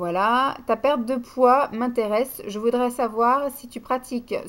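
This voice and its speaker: A woman is speaking. Her voice sits at a fairly high pitch. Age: 30s. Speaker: beauty vlogger. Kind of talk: casual Q&A monologue. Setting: home video recording at night. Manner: hesitant. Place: home room. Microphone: webcam.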